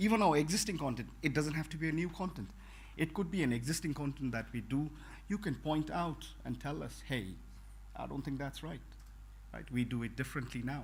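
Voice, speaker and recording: A man talks at a fairly quick pace with a non-native accent. The room gives an audible echo. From Bhutan. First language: not English. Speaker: network technology trainer. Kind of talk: conference talk. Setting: conference room with audience. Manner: halting, many fillers.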